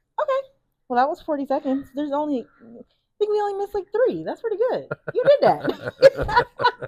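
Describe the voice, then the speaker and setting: A woman's extremely high-pitched, animated speech at a moderate pace, with very wide pitch swings and big swings in loudness, the sound dry and close with no echo. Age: 30s. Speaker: podcast host. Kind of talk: casual chat.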